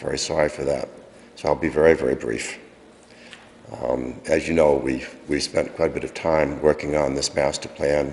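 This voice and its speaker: Noticeable background noise sits behind a man's very deep, low voice. He speaks in a flat monotone. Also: moderate pace. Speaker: conservation commission chairman. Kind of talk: public comment at town council meeting. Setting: town council meeting. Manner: halting, many fillers.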